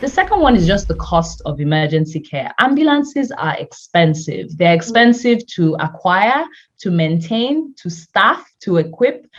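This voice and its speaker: At a moderate pace and with hardly any pauses, a woman with a medium-pitched, somewhat breathy voice makes very wide pitch swings. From Nigeria. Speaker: health tech company founder. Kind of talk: interview.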